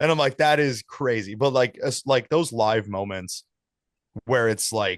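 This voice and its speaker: With an ordinary speaking voice, a man speaks at a medium pitch with ordinary pitch variation, the sound dry and close with no echo over a quiet background. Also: fairly slow pace. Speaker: band vocalist. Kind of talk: casual interview.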